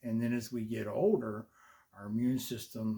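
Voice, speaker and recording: The speaker is a man with a medium pitch. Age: 60s. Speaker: ministry leader and video blogger. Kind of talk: casual monologue. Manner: halting, many fillers.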